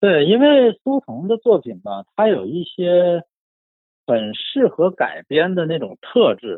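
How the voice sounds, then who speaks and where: Speaking at a very slow pace, a man uses a high pitch. His voice moves in very wide pitch swings and big swings in loudness. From northeast China, Shenyang. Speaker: book enthusiast guest. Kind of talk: casual literary discussion.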